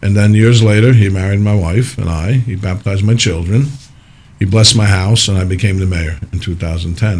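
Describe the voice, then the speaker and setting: A fairly low, somewhat breathy male voice in an American accent, fairly quick, with ordinary pitch variation. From New Jersey (Parsippany). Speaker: mayor. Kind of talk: radio interview.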